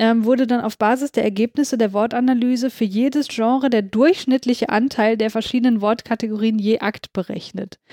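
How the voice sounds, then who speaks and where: This woman's voice is fairly high in pitch with a dark, mellow tone. Her loudness stays very even, her intonation fairly even, and she hardly pauses. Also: moderate pace, dry, close sound with no echo. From Hamburg, northern Germany. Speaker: podcast co-host. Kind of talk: casual chat.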